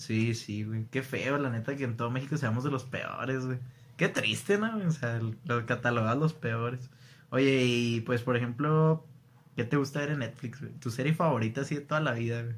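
A man speaks at a medium pitch and a moderate pace, his voice somewhat breathy. His pitch varies in an ordinary way. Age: 20s. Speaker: podcast host. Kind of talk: casual chat.

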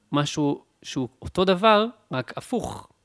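Ordinary pitch variation comes through in a very clean recording with a silent background. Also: man. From Israel, Beersheba. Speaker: music producer and musician. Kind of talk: casual chat. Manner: halting.

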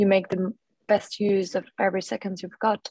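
In a French accent, a woman speaks at a medium pitch with monotone, flat intonation, the sound dry and close with no echo. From France. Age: 30s. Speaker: artist and former venture capitalist. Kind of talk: interview. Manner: hesitant, many fillers.

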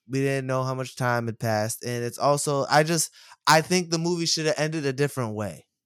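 On a very clean recording with a silent background, a man talks at a fairly quick pace in a fairly high pitch with ordinary pitch variation. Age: 30s. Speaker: podcast co-host. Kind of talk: casual chat.

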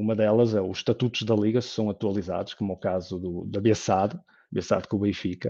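Dark and mellow in tone, a man speaks at a fairly low pitch with monotone, flat intonation. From northern Portugal, Lousada (Porto district). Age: 30s. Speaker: football fan panelist. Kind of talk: casual panel discussion.

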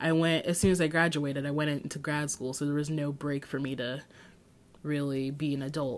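Very clean, silent-background recording of a woman with a very deep, low pitch, an animated tone, and a fairly quick pace. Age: 20s. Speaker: podcast host. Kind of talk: casual solo podcast monologue. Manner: animated, frequent laughter.

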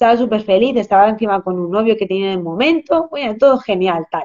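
A woman speaks at a very fast pace with a dark, mellow tone. Her pitch is fairly high, with ordinary pitch variation. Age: 30s. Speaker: nutritionist. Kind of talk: interview on a live stream.

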